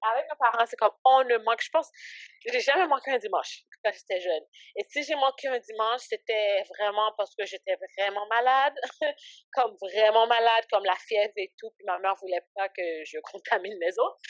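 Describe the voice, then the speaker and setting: A woman with an unremarkable speaking voice talks at a moderate pace and fairly high pitch, with ordinary pitch variation, in a dry, close sound with no echo. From Canada, raised from age 7 (born in Haiti). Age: 20s. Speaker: ministry founder and entrepreneur. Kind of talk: podcast interview. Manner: casual, filler-heavy speech.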